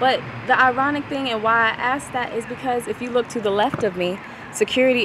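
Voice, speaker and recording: A woman talks at a fairly quick pace. The sound is dry with no echo, and there is noticeable background noise. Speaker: news anchor and reporter. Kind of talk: broadcast news anchor and reporter delivery.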